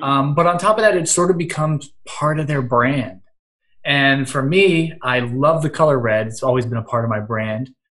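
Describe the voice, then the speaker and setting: In an American accent, a man with an unremarkable speaking voice talks at a moderate pace, his fairly high pitch carried by lively intonation. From Western Pennsylvania. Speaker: social media marketer and blogger. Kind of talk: casual interview chat.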